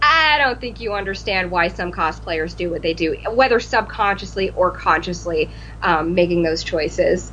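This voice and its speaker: Noticeable background noise runs beneath a woman talking at a moderate speed. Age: 30s. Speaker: cosplayer. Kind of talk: casual chat.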